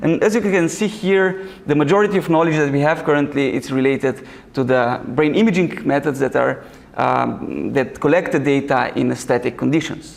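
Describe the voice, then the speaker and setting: In a Slovenian accent, a man talks at a moderate pace with fairly high pitch, ordinary pitch variation and very even loudness. Noticeable background noise and audible room echo are present. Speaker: researcher and summer school organizer. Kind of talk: lecture. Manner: halting, many fillers.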